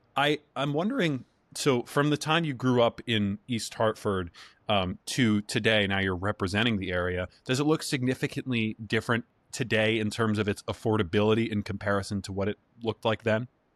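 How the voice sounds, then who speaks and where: A man's fairly low voice at a fairly quick pace, an unremarkable speaking voice with ordinary pitch variation, in a very clean, dry, close recording with no echo and a silent background. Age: 20s. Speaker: interviewer, intern. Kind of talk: interview.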